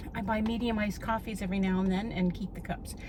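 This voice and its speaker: There is audible room echo in the recording. Background noise is also noticeable. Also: woman. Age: 60s. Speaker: lifestyle vlogger. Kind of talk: casual vlog. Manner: chatty.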